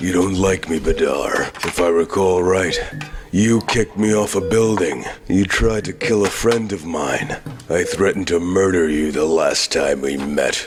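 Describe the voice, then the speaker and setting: A man uses a put-on character voice, very deep and low, with ordinary pitch variation. Clear background noise sits behind him. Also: moderate pace. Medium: fan dub. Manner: grim, blunt.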